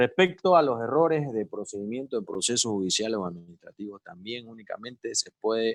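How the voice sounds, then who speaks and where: A man's ordinary speaking voice at medium pitch, fairly quick and lively in intonation, with a dry, close sound, no echo and a quiet background. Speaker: lawyer giving a seminar. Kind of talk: lecture.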